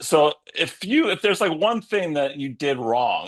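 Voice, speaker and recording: Against a quiet background, a man with a fairly high pitch speaks with very wide pitch swings. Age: 60s. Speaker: interviewer, business teacher. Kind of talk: interview. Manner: casual.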